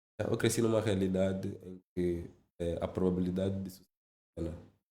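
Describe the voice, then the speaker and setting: Audible room echo surrounds a man speaking at a fairly quick pace in a very deep, low pitch. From Angola, Zaire province. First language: Lingala and Kikongo (speaking Portuguese). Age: 30s. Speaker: finance executive. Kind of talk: podcast interview.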